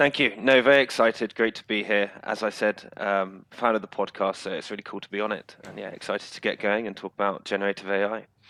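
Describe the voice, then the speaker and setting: At a very fast pace, a man with a British accent speaks in a fairly low, bright, sharp voice with big swings in loudness, the sound dry and close with no echo. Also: fairly even intonation, very clean recording, silent background. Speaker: tech startup founder. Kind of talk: interview.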